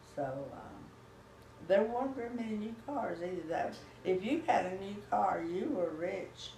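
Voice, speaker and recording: A woman with a Texan accent and medium pitch speaks at a fairly slow pace with lively intonation. Room echo is audible, along with noticeable background noise. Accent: Texan Southern US. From Texas. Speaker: grandmother telling family history. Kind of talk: oral history interview. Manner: halting.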